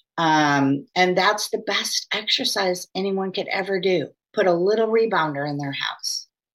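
A woman speaks at a medium pitch in an ordinary speaking voice, with ordinary pitch variation and a moderate pace. She hardly pauses, and the recording is very clean with a silent background. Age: 60s. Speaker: breast cancer survivor. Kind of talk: interview testimony.

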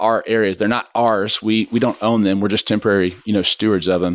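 A man with an American accent talks at a fairly quick pace in an unremarkable speaking voice of medium pitch. The sound is dry and close, with no echo. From Kansas, Wichita. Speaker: church ministry leader. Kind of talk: casual chat.

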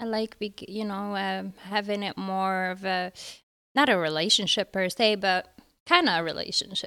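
Speaking at a moderate pace, a woman uses a medium pitch and a bright, sharp tone with fairly even intonation. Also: very clean recording, silent background. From Morocco. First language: Arabic. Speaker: brothel courtesan. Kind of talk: casual interview. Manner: giggly.

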